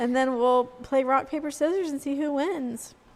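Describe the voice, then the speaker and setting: This woman keeps to a moderate pace, her speech accompanied by noticeable background noise. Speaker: aquarium podcast co-host. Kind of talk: casual chat. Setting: live stream.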